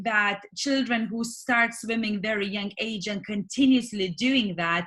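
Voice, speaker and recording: The speaker talks at a fairly slow pace with a Lithuanian accent. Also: woman. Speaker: swimming coach and business owner. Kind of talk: interview. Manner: halting.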